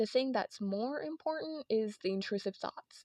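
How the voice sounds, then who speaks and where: A woman's fairly high-pitched, dark and mellow voice, with lively intonation at a moderate pace. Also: dry, close sound with no echo. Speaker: video essayist. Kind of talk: video essay. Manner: casual, rambly. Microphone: headphone mic, poor quality.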